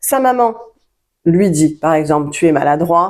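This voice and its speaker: On a very clean recording with a silent background, a woman speaks in a fairly low pitch with very wide pitch swings. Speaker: self-help coach. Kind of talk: tutorial. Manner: slow; halting.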